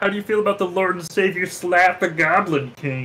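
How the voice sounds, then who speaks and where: A man uses a put-on character voice pitched high. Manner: blunt, rude.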